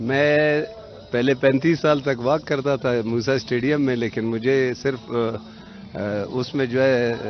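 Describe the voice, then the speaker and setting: Over music in the background, a man talks in a medium pitch with fairly even intonation. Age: 60s. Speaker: retired telecom director, yoga practitioner. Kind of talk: interview.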